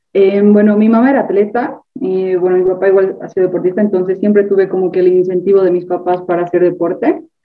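A woman talks at a very fast pace and medium pitch. Her intonation stays fairly even. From Bolivia. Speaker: university student and sprinter. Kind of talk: casual interview.

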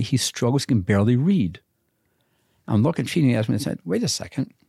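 The voice is somewhat breathy with a dark, mellow tone, lively intonation and a fairly quick pace, in a dry, close sound with no echo. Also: man. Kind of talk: casual interview chat.

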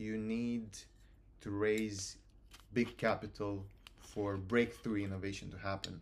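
A man with a Romanian accent speaks in a flat monotone at a fairly slow pace, with long, frequent pauses. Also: fairly low pitch for a man. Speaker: university student, student society president. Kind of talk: casual interview chat.

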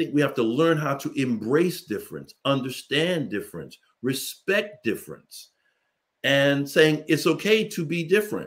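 In a very clean recording with a silent background, a man with an ordinary speaking voice talks at a moderate pace, his fairly high pitch carrying lively intonation. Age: 50s. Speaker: leadership consultant. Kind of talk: panel discussion.

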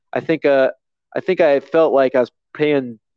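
An ordinary speaking voice from a man with an American accent, fairly high in pitch, at a moderate pace. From Virginia, US. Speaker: podcast guest. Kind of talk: casual chat. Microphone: headset plugged into phone.

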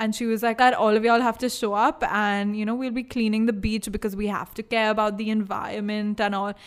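A woman's fairly high voice, monotone and flat, at a very fast pace with hardly any pauses. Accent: Indian. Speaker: podcast co-host. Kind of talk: casual chat.

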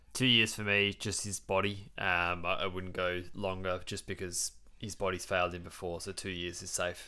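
A man with an Australian accent has a very deep, low pitch and a bright, sharp tone, recorded very cleanly against a silent background. He speaks in monotone, flat intonation at a moderate pace, with hardly any pauses. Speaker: AFL podcast host. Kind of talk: casual chat.

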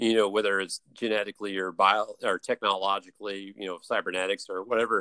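A man with an American accent talks at a very fast pace with hardly any pauses, in a fairly low pitch and monotone, flat intonation. His tone is bright and sharp, and the sound is dry and close with no echo. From US South, Atlanta suburbs. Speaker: former campus ministry worker. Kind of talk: casual interview chat. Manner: halting, many fillers and repeats.

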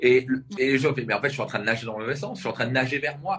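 The man talks at a very fast pace, his intonation lively. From Alsace, near Strasbourg. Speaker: personal development coach. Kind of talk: interview. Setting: live video interview.

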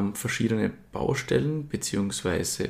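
A man speaks with vocal fry. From Austria, Styria (Murtal). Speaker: cider company co-founder, business student. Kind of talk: interview.

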